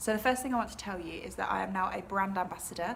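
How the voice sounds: A woman speaks fast at a medium pitch, with vocal fry. Her pitch variation is ordinary.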